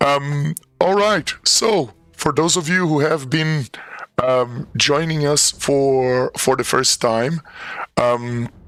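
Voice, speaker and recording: A man's fairly high voice at a very slow pace, with ordinary pitch variation, very even loudness and music in the background. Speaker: game master. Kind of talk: live-play tabletop narration intro. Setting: live stream. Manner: halting, many fillers.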